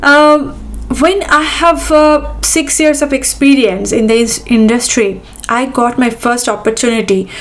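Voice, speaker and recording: A woman with an Indian accent speaks at a fairly slow pace and a high pitch with ordinary pitch variation, amid noticeable background noise. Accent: Indian English, own. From India, Bengal. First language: Bengali. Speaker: tech professional, YouTuber. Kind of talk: casual talk to camera, advice podcast. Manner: halting, with fillers and restarts.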